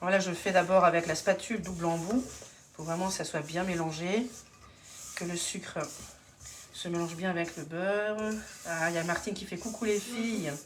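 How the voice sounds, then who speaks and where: Through noticeable background noise and audible room echo, a woman speaks at a fairly low pitch with fairly even intonation. Her pace is moderate, with long, frequent pauses. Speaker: home cook and kitchenware consultant doing a live demo. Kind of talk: live cooking demonstration. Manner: hesitant, many fillers.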